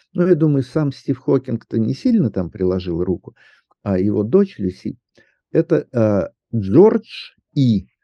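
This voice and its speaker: The delivery is very slow, with long, frequent pauses. Pitch swings very widely. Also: man, medium pitch for a man. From Southern Urals, Russia. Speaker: astronomer and science popularizer. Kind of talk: interview.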